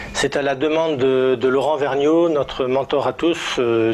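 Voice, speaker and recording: A man talks at a fairly high pitch with fairly even intonation. His pace is fairly slow, with noticeable background noise behind him. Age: 60s. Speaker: network marketing team leader. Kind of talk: testimony. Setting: indoors, filmed in a living room. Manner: hesitant, many filler sounds.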